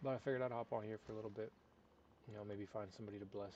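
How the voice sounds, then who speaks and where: Soft-spoken and very fast, a man talks in a dark, mellow tone at a fairly low pitch with fairly even intonation. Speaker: gaming streamer. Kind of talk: live gameplay stream chat.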